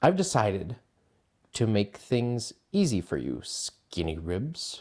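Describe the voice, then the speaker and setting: A man's put-on character voice at medium pitch and a fairly slow pace, in a very clean recording with a silent background. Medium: read story. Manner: gruff, blustering.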